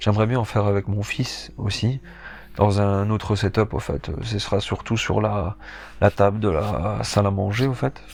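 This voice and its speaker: Pitch variation is ordinary in this man's voice. He talks at a fairly slow pace. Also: fairly low pitch for a man. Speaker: board game youtuber. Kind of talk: casual game presentation. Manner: hesitant, many fillers.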